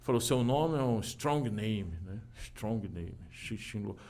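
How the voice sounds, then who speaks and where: A man speaking at a fairly slow pace. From Brazil, São Paulo city. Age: 40s. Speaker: kung fu teacher. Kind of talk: casual chat.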